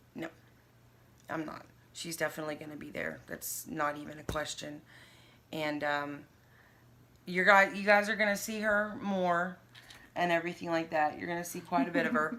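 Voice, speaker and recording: A bright, sharp tone at a moderate pace, with long, frequent pauses, big swings in loudness and ordinary pitch variation. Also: woman, fairly low pitch for a woman. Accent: American. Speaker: vlogger sharing health journey. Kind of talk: casual chat. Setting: sitting with a friend on camera.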